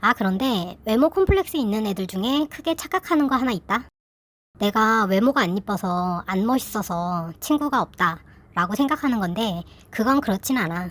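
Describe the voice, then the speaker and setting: Very wide pitch swings from a woman with a fairly high voice, at a moderate pace, on a very clean recording with a silent background. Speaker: YouTuber sharing personal story. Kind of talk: casual personal talk to viewers. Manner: informal, conversational.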